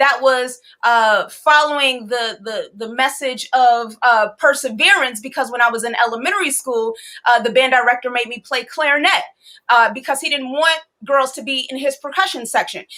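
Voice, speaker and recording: A woman's high, bright, sharp voice in an American accent, raised and projected, animated in tone, with ordinary pitch variation. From Chicago, US. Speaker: musician and DJ. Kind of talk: interview storytelling. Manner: fast.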